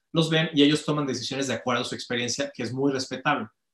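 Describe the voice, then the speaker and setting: A man with an ordinary speaking voice talks at a fairly high pitch, his intonation fairly even. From Mexico. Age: 40s. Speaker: company director and conference speaker. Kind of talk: interview conversation.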